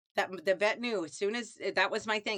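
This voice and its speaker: A woman with a Midwestern US accent, medium pitch, ordinary pitch variation, bright and sharp tone, fairly quick pace, dry, close sound with no echo, very clean recording, silent background. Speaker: lifestyle vlogger. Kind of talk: casual monologue. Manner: conversational, digressive.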